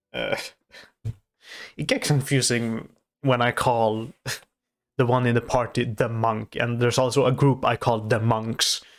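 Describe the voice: A man's voice at medium pitch with little pitch movement, a non-native accent, a slow pace, and long, frequent pauses.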